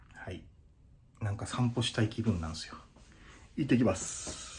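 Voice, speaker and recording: A man with a somewhat breathy, medium-pitched voice talks at a fairly slow pace with ordinary pitch variation. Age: 30s. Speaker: temp worker. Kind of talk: casual vlog talk.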